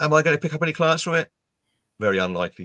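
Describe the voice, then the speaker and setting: A man with an English accent at a very fast pace, bright, sharp tone and very wide pitch swings, in a dry, close sound with no echo against a quiet background. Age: 60s. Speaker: LinkedIn trainer and speaker. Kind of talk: interview.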